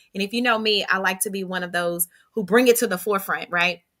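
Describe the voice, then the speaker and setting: Very fast in pace, a woman talks in an animated, bright, sharp tone with ordinary pitch variation. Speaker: live stream host. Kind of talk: casual interview. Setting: live video stream. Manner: loud.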